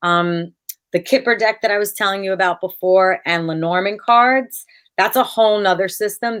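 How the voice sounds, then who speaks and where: Against a quiet background, a woman talks at a moderate pace with fairly even intonation in an unremarkable speaking voice. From United States. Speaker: tarot card reader. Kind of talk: casual interview chat. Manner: many filler words (um, uh).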